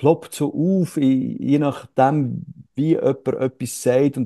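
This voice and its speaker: A man is speaking. The rise and fall of his pitch is ordinary. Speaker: actor and satirist. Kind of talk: interview conversation. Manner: halting, many fillers.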